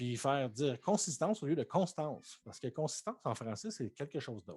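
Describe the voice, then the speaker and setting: In a Quebec accent, a man with a fairly high, somewhat breathy voice speaks at a fairly quick pace, with very wide pitch swings and big swings in loudness. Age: 30s. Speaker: Twitch streamer. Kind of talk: casual chat. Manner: animated.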